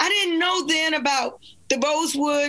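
A woman projects a raised voice with a high pitch and a bright, sharp tone. Her intonation stays fairly even. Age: 60s. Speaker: attorney and author. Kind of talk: panel discussion. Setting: video call.

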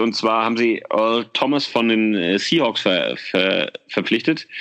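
A man speaks at a very slow pace, his pitch varying in an ordinary way. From Germany, Frankfurt (Oder). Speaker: fan podcast host. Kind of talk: casual chat.

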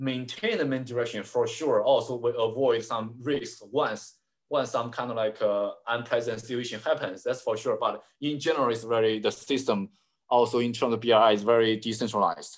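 Speaking at a moderate pace, a man talks in a Chinese accent. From China. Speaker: China analyst and writer. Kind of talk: interview. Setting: video call.

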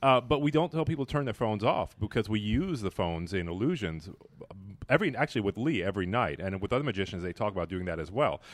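A man speaks at a very fast pace with fairly low pitch. His pitch swings very widely. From Belize. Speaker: theater venue manager. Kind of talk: casual chat. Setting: live venue recording.

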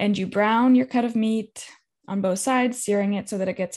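With an American accent, a woman speaks in a fairly high, somewhat breathy voice with ordinary pitch variation over a quiet background. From California. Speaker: health coach and business owner. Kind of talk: podcast interview.

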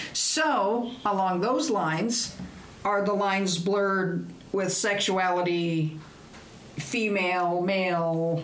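Very slowly and with very even loudness, a woman speaks in a medium pitch with ordinary pitch variation, in a room with audible echo and noticeable background noise. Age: middle-aged. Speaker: podcast co-host. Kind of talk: casual chat.

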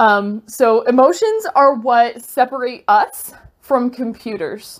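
Her voice is high for a woman, with ordinary pitch variation. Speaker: solo podcaster. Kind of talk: spiritual monologue. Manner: rambling, with frequent hesitations.

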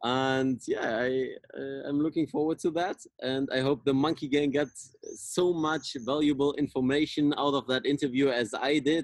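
A man with a German accent, fairly high in pitch, at a moderate pace, with fairly even intonation and very even loudness. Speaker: podcast host, mobility coach. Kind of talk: interview. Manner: halting.

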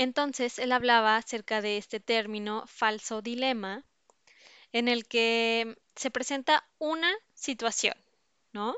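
Intonation remains fairly even. The delivery is very slow. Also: woman, fairly high pitch for a woman. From Mexico, teen years in the US. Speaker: podcast host. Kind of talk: monologue intro.

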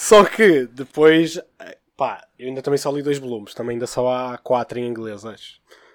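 This is a man with an unremarkable speaking voice, medium pitch and a moderate pace. His pitch varies in an ordinary way while his loudness swings widely. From Porto, northern Portugal. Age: 20s. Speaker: podcast guest, manga fan. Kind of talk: casual chat.

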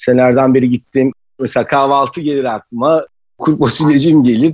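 A man with a normal speaking voice talks at a fairly quick pace, his medium pitch held in fairly even intonation, in a dry, close sound with no echo. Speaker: chef and restaurant executive. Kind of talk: casual interview.

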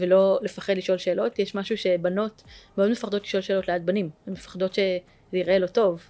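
A woman's medium-pitched voice, dark and mellow in tone, monotone and flat, at a fairly quick pace. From Israel, Jerusalem. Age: 30s. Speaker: tech startup founder. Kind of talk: interview.

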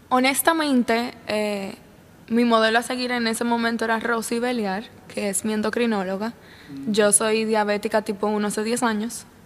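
At a moderate pace, a woman with a normal speaking voice talks in a fairly high pitch with fairly even intonation. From Dominican Republic, La Vega. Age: 20s. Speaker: young entrepreneur. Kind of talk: interview conversation.

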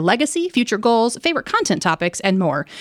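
Captured dry and close with no echo, a woman speaks in an animated tone. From southern Virginia (Danville). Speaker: magazine editor and podcast host. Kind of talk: casual interview.

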